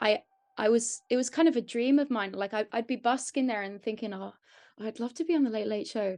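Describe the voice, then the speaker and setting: In a strong English accent, a woman speaks at a fairly quick pace with a fairly high pitch and ordinary pitch variation over a quiet background. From Ireland, Donegal (Letterkenny), born in London. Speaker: singer. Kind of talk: interview.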